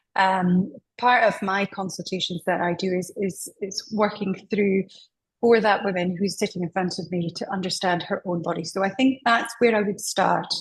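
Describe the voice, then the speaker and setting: In a Scottish accent, a woman speaks at a moderate pace and medium pitch, somewhat breathy, with fairly even intonation. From Scotland. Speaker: menopause specialist. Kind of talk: interview.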